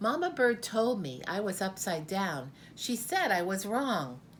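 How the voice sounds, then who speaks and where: A squeaky, female-sounding put-on character voice at medium pitch moves at a fairly slow pace over clear background noise. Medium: read story.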